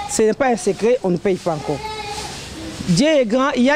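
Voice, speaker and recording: Over light background noise, a woman speaks at a fairly quick pace with a fairly high pitch. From DR Congo. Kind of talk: speech at a community event. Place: street.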